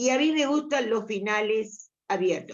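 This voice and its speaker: A very slow pace with ordinary pitch variation. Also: woman. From Uruguay. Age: 80s+. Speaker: amateur writer. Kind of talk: casual chat.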